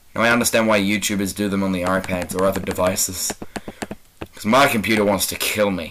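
Over noticeable background noise, a man with a New Zealand accent talks at a very fast pace, his fairly low pitch kept in fairly even intonation. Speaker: gaming YouTuber. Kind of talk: casual gameplay commentary.

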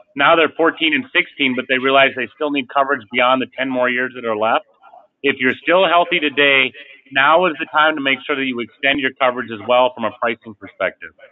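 A man talks at a fairly quick pace with fairly even intonation. Light background noise sits behind him. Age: 40s. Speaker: life insurance company CEO. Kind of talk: webinar presentation. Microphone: video call.

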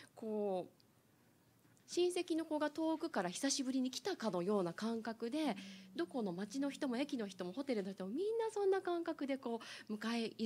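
Very wide pitch swings in a woman's voice, at a moderate speed. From Niigata, Japan. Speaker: panel member. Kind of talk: panel discussion. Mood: warm, smiling, cheerful. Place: meeting room. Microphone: handheld.

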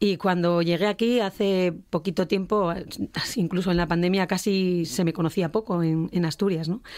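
A woman with an unremarkable speaking voice and fairly low pitch talks at a moderate pace with fairly even intonation and very even loudness on a very clean recording with a silent background. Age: 50s. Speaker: singer. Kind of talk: radio interview. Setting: radio studio.

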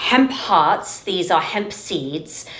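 Amid audible room echo, a woman with a fairly low pitch speaks at a very slow pace. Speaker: cooking show host. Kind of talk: tutorial. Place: kitchen.

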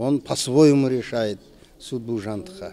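The pace from this man is very slow. His intonation is lively, with noticeable background noise behind him. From southern Kazakhstan (Kentau). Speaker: theater critic and professor. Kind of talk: interview. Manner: halting, frequent filler sounds.

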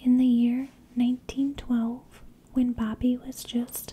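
Soft-spoken and very slow, a woman talks at a high pitch over light background noise. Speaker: storyteller. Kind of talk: true crime narration. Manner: soft-spoken, hushed ASMR voice. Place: home room. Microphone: studio mic.

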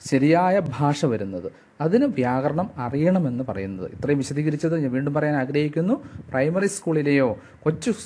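A man speaks with lively intonation and a fairly high pitch. His tone is dark and mellow. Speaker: English grammar teacher. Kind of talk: lecture. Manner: halting.

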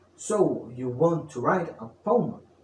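A sing-song, playful, theatrical delivery at a very slow pace, with audible room echo and light background noise. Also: man. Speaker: storyteller. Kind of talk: bedtime story narration, read aloud in a storyteller's voice. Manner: theatrical, archaic-flavoured storyteller delivery; playful, sing-song rhyming cadence. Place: home room.

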